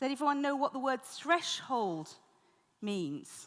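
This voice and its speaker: In a British accent, a woman speaks at a fairly slow pace with lively intonation. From Britain. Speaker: conference moderator. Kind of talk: conference moderation.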